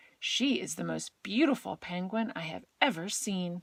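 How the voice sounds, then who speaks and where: A woman's put-on character voice at a medium pitch and a moderate pace. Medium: read story.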